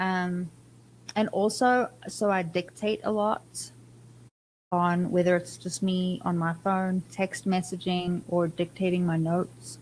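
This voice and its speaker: A somewhat breathy woman's voice, fairly low in pitch, at a very slow pace with very even loudness and fairly even intonation. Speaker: podcast guest. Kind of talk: casual chat.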